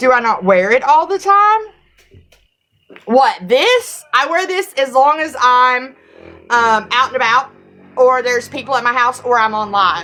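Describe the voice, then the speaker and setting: A raised, projected voice with a Southern US accent and a bright, sharp tone. The pitch swings very widely, broken by long, frequent pauses. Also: woman, high pitch for a woman, fairly slow pace. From US South, Tennessee. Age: 40s. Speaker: livestreamer. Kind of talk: live stream Q&A. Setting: livestream.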